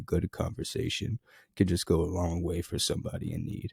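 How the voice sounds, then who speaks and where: Somewhat breathy speech comes at a fairly quick pace, dry and close with no echo, on a very clean recording with a silent background. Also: man. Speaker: podcast host. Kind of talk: vlog narration. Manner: casual, hesitant with fillers.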